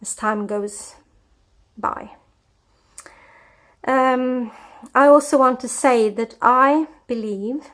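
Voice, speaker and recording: A woman speaks in a Scandinavian accent. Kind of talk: personal testimony. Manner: hesitant, with many fillers.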